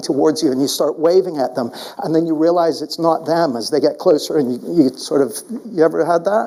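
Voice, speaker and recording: A man speaks at a fairly quick pace with a fairly high pitch and lively intonation. Noticeable background noise sits behind him. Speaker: keynote speaker and coach. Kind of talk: live keynote speech.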